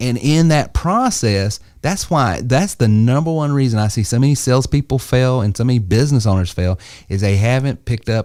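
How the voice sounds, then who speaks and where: Speaking in a Southern US accent, a man with a dark, mellow tone uses lively intonation in a very clean recording with a silent background. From US South. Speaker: entrepreneur and sales coach. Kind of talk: podcast panel discussion. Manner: conversational, with fillers.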